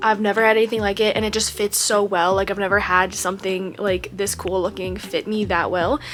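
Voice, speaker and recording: A woman at medium pitch talks at a fairly quick pace with hardly any pauses. Her intonation is monotone and flat, and there is noticeable background noise. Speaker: vlogger. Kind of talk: casual vlog talk. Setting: indoors at home.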